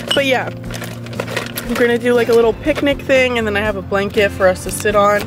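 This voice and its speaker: A woman speaks with ordinary pitch variation. Clear music plays behind her, and the sound is dry with no echo. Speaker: vlogger. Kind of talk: casual vlog chat. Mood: cheerful, relaxed. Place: car. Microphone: phone near.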